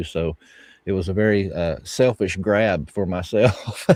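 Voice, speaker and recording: Recorded very cleanly against a silent background, with a dry, close sound and no echo, a man with a Southern US accent talks in a very deep, low voice with ordinary pitch variation. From US South, Bible Belt. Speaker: podcast host and author. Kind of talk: casual interview chat.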